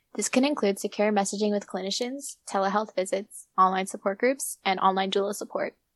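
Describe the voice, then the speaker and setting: A normal speaking voice at a fairly quick pace with ordinary pitch variation and hardly any pauses, dry and close with no echo, over a quiet background. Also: woman, medium pitch for a woman. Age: young. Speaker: student podcast host. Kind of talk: scripted academic discussion.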